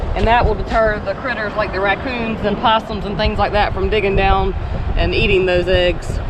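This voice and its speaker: A woman with a Southern US accent talks at a moderate pace and medium pitch, in monotone, flat intonation. Audible room echo and noticeable background noise fill the recording. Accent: southern accent, sounds country. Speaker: vlogger. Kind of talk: casual beach-walk vlog chat. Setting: outdoors on a beach.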